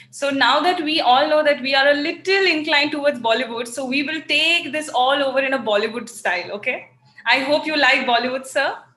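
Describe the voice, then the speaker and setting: A high-pitched woman with an Indian accent, ordinary pitch variation, a fairly quick pace and noticeable background noise. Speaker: talk show host. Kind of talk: talk show interview.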